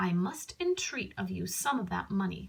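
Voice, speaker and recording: A woman performs a put-on character voice. She growls as she speaks. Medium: read story.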